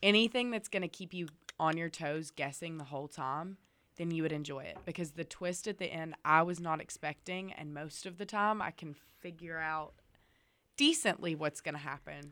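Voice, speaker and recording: A woman speaks at a moderate pace in a bright, sharp tone, with big swings in loudness and ordinary pitch variation. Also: fairly low pitch for a woman. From Alabama, near Birmingham. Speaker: college student. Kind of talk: casual chat. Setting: studio.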